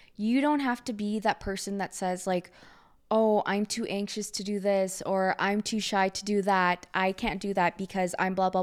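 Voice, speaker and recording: A woman talks in a normal speaking voice. Her pitch is medium and her pace moderate. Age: 20s. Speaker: podcaster. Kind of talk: casual monologue. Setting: home art space.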